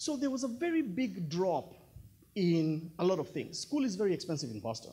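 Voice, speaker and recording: The man's speech moves at a moderate pace. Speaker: speaker. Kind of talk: personal story talk. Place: hall. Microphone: handheld.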